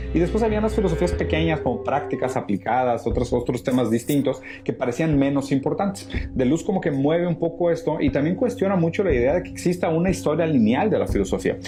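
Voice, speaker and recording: Over music in the background, a man talks at a very fast pace in a fairly high pitch, with very wide pitch swings. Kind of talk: philosophy lecture talk.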